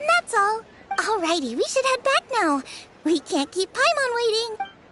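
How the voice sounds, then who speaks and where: This cartoonish character voice has an extremely high pitch and moves at a moderate pace. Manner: bright, eager.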